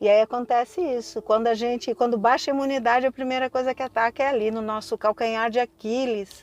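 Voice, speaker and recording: Her high voice moves at a fairly quick pace with hardly any pauses and fairly even intonation, and the woman's sound is dry and close with no echo. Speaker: spiritual teacher. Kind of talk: casual vlog talk. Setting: at an emergency care unit.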